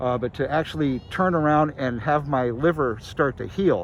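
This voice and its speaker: It's a man with a plain, everyday voice. His pitch is fairly high. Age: 60s. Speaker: radio host and cannabis festival co-founder. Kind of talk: casual interview. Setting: outdoors, walking in a park.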